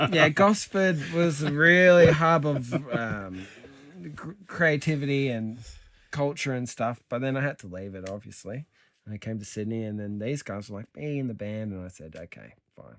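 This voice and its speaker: Using an Australian accent, a man of medium pitch speaks at a moderate pace with very wide pitch swings and big swings in loudness. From Central Coast, New South Wales, Australia. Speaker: rock band member. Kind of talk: casual chat. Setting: recording studio.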